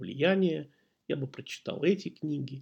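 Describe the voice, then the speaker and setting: A man's fairly high voice moves at a moderate pace with lively intonation. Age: 50s. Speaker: podcast host. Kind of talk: personal storytelling monologue. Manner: conversational, with hesitations.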